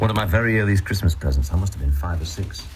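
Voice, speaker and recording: Audible room echo surrounds a man's very deep, low voice, which has lively intonation. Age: 60s. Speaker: radio host. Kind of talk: radio show presenting.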